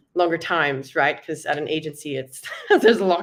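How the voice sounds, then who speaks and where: A woman speaks in a fairly low voice with fairly even intonation. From South Africa. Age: 20s. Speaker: product designer. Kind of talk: panel discussion. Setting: live online meetup.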